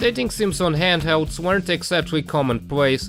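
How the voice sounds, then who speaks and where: Over music in the background, a man speaks at a moderate pace in a fairly high pitch with very wide pitch swings. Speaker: video game commentator. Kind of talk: video essay narration.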